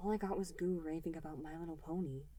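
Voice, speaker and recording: In a put-on character voice, a female-sounding speaker talks very fast, sounding strained at a fairly low pitch, with noticeable background noise. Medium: read story. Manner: tense, strained.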